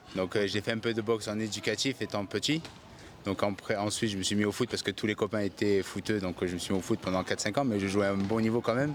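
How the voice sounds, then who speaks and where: The loudness stays very even. The pace is very fast. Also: man, fairly low pitch for a man, fairly even intonation. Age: 20s. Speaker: professional boxer. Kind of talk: interview.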